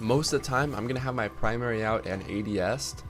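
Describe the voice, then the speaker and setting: Over music in the background, a man talks at a fairly quick clip with lively intonation. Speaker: gaming youtuber. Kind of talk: tutorial. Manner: casual, filler-heavy.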